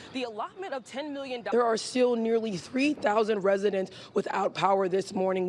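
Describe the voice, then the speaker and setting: A woman speaks in an American accent at a moderate pace, with ordinary pitch variation and noticeable background noise behind her. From Cleveland, Ohio. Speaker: TV news reporter and host. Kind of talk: TV news reporting and live shots.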